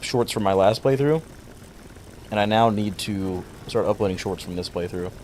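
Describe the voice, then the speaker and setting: A man's fairly low voice at a moderate pace, with ordinary pitch variation over noticeable background noise. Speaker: gaming livestreamer. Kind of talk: casual livestream chat. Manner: stuttering, halting.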